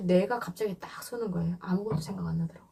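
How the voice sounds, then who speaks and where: Over noticeable background noise, a woman with a medium-pitched voice talks at a very fast pace with lively intonation. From North Korea. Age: 20s. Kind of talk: interview answer.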